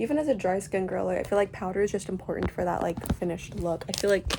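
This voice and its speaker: Very fast speech from a woman comes across with noticeable background noise. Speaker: beauty vlogger. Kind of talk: casual chat while doing makeup. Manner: loud; chatty, rambling filler words.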